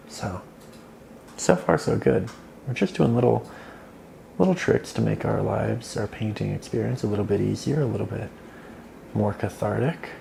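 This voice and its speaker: Quiet and relaxed in tone, a man talks at a moderate pace. He takes long, frequent pauses. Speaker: art teacher. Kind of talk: soft-spoken ASMR painting tutorial. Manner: quieter, relaxed.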